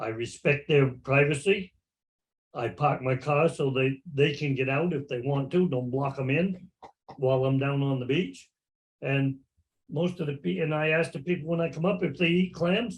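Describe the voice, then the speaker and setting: Somewhat breathy and fairly high for a man, his voice moves at a moderate pace, broken by long, frequent pauses. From Maine. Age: 80s+. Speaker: clam digger. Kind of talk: casual chat.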